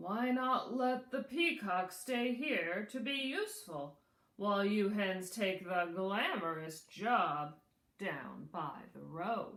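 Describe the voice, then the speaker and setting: A woman performs a put-on character voice at a medium pitch. She speaks at a very slow pace with lively intonation. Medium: read story. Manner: slow, laid-back.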